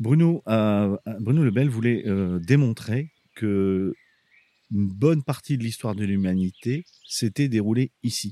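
At a very slow pace, a man with a medium pitch and a dark, mellow tone talks with ordinary pitch variation in a dry, close sound with no echo. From northern France, Abbeville. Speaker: archaeological park director. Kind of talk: casual interview. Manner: hesitant, with fillers.

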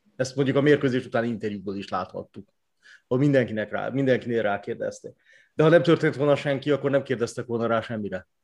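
The man speaks very fast, and the background behind him is quiet. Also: medium pitch for a man, ordinary pitch variation. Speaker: sports journalist. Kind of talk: casual chat.

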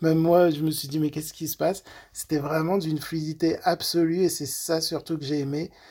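Fairly quick and fairly high-pitched, a man speaks in a monotone with flat intonation. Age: 30s. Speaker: nurse. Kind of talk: testimony. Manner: halting.

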